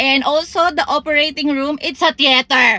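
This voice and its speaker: A raised, projected voice with ordinary pitch variation in a dry, close sound with no echo. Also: woman. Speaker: content creator. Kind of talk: comedic monologue. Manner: animated.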